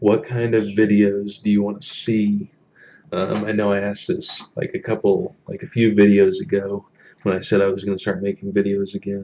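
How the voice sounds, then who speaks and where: Moderately paced, a man's fairly low voice holds a flat, monotone intonation. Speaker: YouTuber with quadriplegia. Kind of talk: live stream chat. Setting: live stream at home. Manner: hesitant, many fillers.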